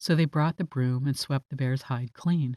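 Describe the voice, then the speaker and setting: A woman with a very deep, low pitch and a dark, mellow tone speaks at a moderate pace in a dry, close sound with no echo on a very clean recording with a silent background. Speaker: voice actor. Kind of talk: bedtime story reading.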